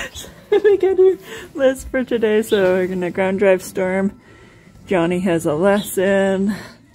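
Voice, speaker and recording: The speech moves at a very slow pace. Faint music plays in the background. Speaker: horse trainer. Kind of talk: casual vlog chat. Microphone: phone near.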